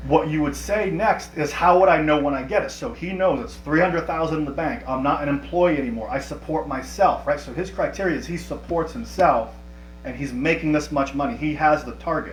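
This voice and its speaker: A man talking at a fairly quick pace with hardly any pauses, amid audible room echo and noticeable background noise. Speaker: life coach running a workshop. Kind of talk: live online workshop. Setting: livestream with chat. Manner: fast.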